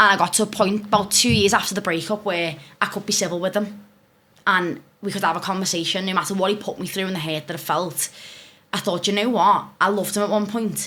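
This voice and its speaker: Over noticeable background noise, a woman with a Scouse accent talks at a very fast pace and medium pitch. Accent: Scouse (Liverpool) English. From northern England, Liverpool. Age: 20s. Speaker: relationship content creator. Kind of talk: casual podcast interview.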